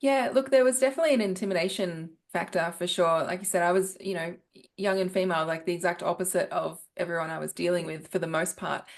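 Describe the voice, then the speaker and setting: A woman with an Australian accent, medium in pitch, at a very fast pace. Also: ordinary pitch variation. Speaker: business professional, former headhunter. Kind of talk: podcast interview.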